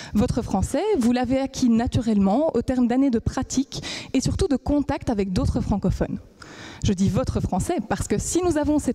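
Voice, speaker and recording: Keeping her loudness very even, a woman with a high pitch and a dark, mellow tone speaks at a fairly quick pace with lively intonation. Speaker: PhD student. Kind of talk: competition talk.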